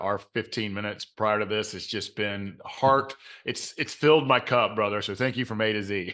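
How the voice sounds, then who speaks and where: A man speaks in a bright, sharp tone at a fairly low pitch, with fairly even intonation and hardly any pauses. The background is quiet. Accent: Southern. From US South, Georgia (Clayton County, south Atlanta). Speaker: mindset coach and author. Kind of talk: podcast interview.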